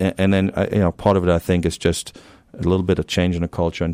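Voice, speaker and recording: In a German accent, a man speaks with a very deep, low pitch and a dark, mellow tone, his intonation monotone and flat, the sound dry and close with no echo on a very clean recording with a silent background. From Germany. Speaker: university athletic director. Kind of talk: interview. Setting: studio.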